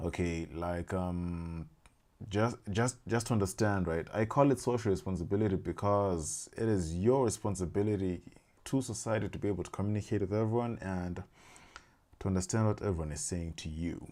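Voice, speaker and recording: A man with a Zimbabwean accent speaks in a very deep, low pitch with a dark, mellow tone. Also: ordinary pitch variation, moderate pace, very clean recording, silent background. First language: Shona. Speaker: language learning YouTuber. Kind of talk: casual explainer monologue. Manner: halting, many fillers and restarts.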